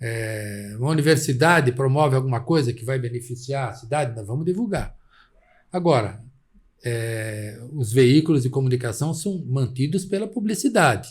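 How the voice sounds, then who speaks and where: With lively intonation and a somewhat breathy quality, a man talks at medium pitch and a moderate pace. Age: 70s. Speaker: journalist. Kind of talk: interview.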